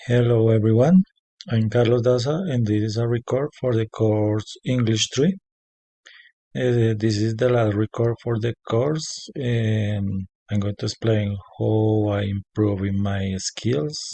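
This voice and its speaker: A man with a Spanish accent, somewhat breathy, speaks at a fairly slow pace and medium pitch with ordinary pitch variation. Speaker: language student. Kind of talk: spoken class assignment. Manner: halting, many fillers.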